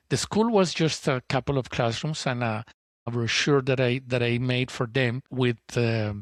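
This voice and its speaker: A man with a Spanish accent speaks at medium pitch and a moderate pace with fairly even intonation, the sound dry and close with no echo and the background silent in a very clean recording. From Colombia, Bogotá. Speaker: entrepreneur, school co-founder. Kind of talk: interview, personal story. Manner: halting, many repetitions and restarts.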